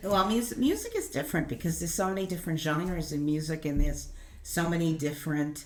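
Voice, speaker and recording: With a Brooklyn accent, a woman talks at a very fast pace in a fairly low voice with ordinary pitch variation, amid noticeable background noise and audible room echo. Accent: Brooklyn New York. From Brooklyn, New York. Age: old. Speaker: senior learner. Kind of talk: casual chat.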